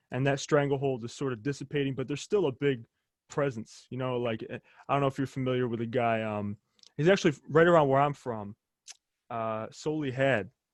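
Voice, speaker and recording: A man's ordinary speaking voice with an American accent, medium in pitch, at a fairly quick pace, with ordinary pitch variation and a dry, close sound with no echo. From United States. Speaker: podcast host. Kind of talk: casual interview chat.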